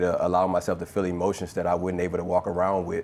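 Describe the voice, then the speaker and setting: With a Louisiana accent, a man speaks very fast in a very deep, low, flat monotone. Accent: Southern (Louisiana). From Louisiana, US South. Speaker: former pro football player and artist. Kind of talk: live conversation at presentation. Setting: live event with audience. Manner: casual, many filler ums.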